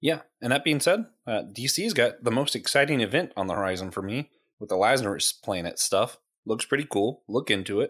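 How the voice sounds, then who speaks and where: At a fairly quick pace, a man with a medium pitch and lively intonation speaks in an ordinary speaking voice, recorded very cleanly against a silent background. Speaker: podcast co-host. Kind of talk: casual chat about geek culture.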